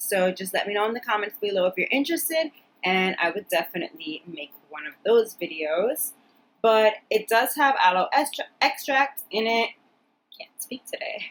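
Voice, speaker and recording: A woman at a fairly high pitch, with very wide pitch swings and big swings in loudness. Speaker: beauty vlogger. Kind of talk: product review vlog. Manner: fast; casual, chatty.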